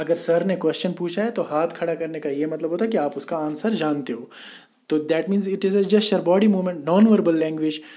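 There is audible room echo as a man speaks in a high pitch with ordinary pitch variation and a dark, mellow tone. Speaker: teacher. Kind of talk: lecture. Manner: moderate speed.

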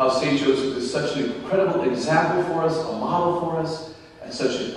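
A man at a moderate pace with ordinary pitch variation, heard through strong room echo.

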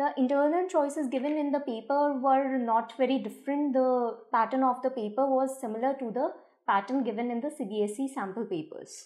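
A high-pitched woman at a moderate pace, with ordinary pitch variation, hardly any pauses and a quiet background. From India. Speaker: school English teacher. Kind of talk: exam paper analysis. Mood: calm, explanatory. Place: office.

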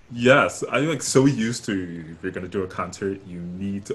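At a moderate pace, a man with an American accent speaks with ordinary pitch variation over light background noise. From New York City (Brooklyn). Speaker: opera singer. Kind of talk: casual chat. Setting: video call. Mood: warm, friendly. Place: home room. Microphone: headset.

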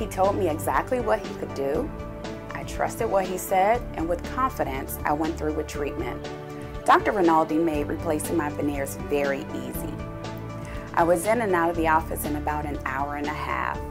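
A woman speaks at a moderate pace while clear music sounds behind her. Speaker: dental patient. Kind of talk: patient testimonial. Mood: calm, pleased. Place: studio.

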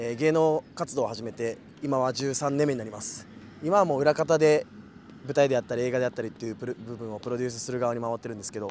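Very fast talk from a man at medium pitch, ordinary pitch variation, big swings in loudness. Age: 20s. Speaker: entertainer and producer, tryout applicant. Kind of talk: group interview.

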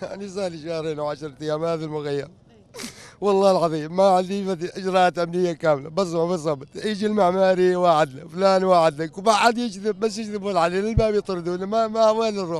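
A man's high voice with fairly even intonation, dry with no echo. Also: moderate pace. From Iraq. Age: 50s. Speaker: displaced camp resident. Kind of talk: emotional complaint interview. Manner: agitated, pleading. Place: open country. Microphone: handheld.

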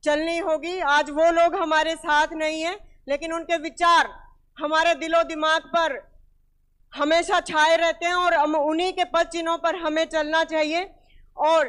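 A woman at an extremely high pitch, speaking very slowly in a flat monotone over a quiet background. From India, Haryana (Hisar district); Haryana, India. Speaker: speaker. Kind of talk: public speech. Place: hall. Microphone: handheld.

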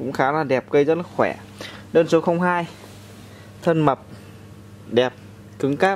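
A man speaks at a fairly slow pace with a fairly high pitch and ordinary pitch variation. Long, frequent pauses break up his speech over light background noise. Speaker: orchid seller. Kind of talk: sales pitch. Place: open country. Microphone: phone near.

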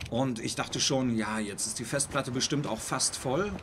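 The man talks at a moderate pace. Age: 40s. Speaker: gaming streamer. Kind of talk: live stream commentary. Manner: halting.

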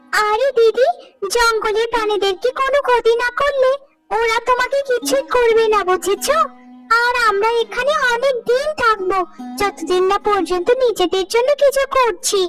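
A woman's cartoonish character voice at an extremely high pitch and a fairly slow pace, with music in the background. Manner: earnest, encouraging.

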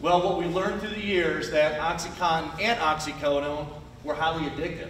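There is noticeable background noise and audible room echo. A man speaks with fairly even intonation. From Buffalo, New York. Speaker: drug enforcement agent. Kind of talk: public talk. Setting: stage with audience.

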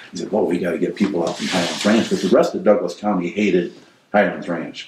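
The speech comes at a very fast pace. Background noise is noticeable. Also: man. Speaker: former development company manager; interviewee. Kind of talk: oral history interview answer. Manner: conversational, hesitant. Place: home room.

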